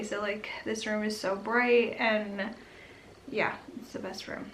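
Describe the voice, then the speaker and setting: A woman whispers quietly at a fairly slow pace, with audible room echo and noticeable background noise. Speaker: vlogger. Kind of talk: casual vlog update. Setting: home nursery. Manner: whispering, quiet; chatty, many fillers.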